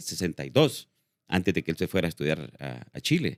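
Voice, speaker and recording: The recording is very clean, with a silent background and a dry, close sound free of echo. A man speaks in a very deep, low pitch. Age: 60s. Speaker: actor and filmmaker. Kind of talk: interview. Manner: halting, many fillers.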